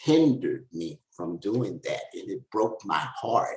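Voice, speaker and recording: A man speaks at a very slow pace. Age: 70s. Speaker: author and former drug trafficker. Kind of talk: interview. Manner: halting.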